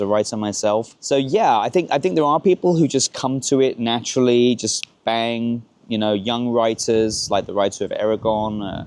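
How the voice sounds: The man's tone is slightly mellow, at a medium pitch. He keeps a moderate pace.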